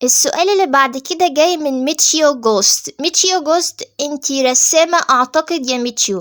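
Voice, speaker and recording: With an Egyptian accent, a woman speaks at a moderate pace in a high pitch, with lively intonation and hardly any pauses, in a dry, close sound with no echo. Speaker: VTuber / YouTuber. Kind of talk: casual Q&A chat.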